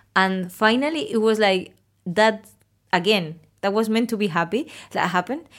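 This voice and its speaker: With a Spanish accent, a woman speaks at a moderate pace, leaving long, frequent pauses. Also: fairly high pitch for a woman, ordinary pitch variation. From Spain. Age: 30s. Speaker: architect working abroad, guest. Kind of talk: casual interview chat.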